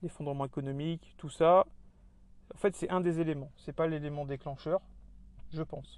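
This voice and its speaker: A man speaks at a moderate pace with a fairly high pitch and monotone, flat intonation. Long pauses come often. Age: 30s. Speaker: podcast host on survivalism. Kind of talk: solo monologue. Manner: halting, many fillers and repetitions.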